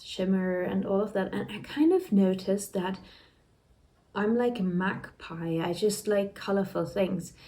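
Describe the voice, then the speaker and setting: Somewhat breathy and dark, mellow in tone, a woman speaks at a fairly slow pace with a medium pitch and ordinary pitch variation. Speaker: knitting vlogger. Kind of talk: casual chat.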